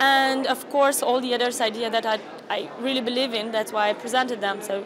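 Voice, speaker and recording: With a Romanian accent, a woman speaks at a fairly quick pace in a high pitch and fairly even intonation, with crowd noise in the background and audible room echo. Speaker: youth delegate. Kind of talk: interview.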